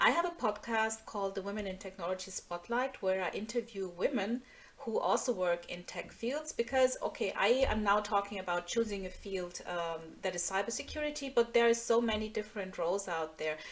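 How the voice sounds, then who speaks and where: A woman with a fairly high pitch and a German accent at a fairly quick pace, ordinary pitch variation, and noticeable background noise. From Nigeria (Lagos), German-speaking family. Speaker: tech security engineer and speaker. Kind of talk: online presentation.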